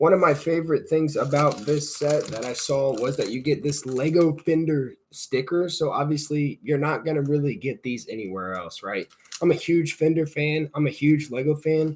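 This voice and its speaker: Speaking at a moderate pace with hardly any pauses, a man has a fairly high pitch and an American accent. His voice is somewhat breathy, with ordinary pitch variation. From Indiana. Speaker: Lego channel host, live streamer. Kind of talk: live stream building commentary. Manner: casual, chatty.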